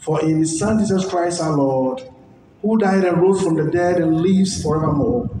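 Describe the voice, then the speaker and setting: A man speaks in a high voice with ordinary pitch variation. Noticeable background noise and audible room echo fill the recording. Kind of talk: liturgical scripture reading. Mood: solemn, measured. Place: stage. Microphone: pa.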